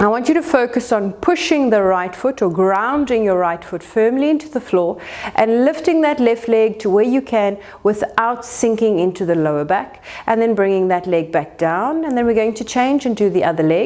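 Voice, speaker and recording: In a South African accent, the speaker uses a calm tone at a moderate pace. The intonation is lively. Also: woman, fairly high pitch for a woman. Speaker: pilates instructor. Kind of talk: exercise class instruction. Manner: calm and encouraging.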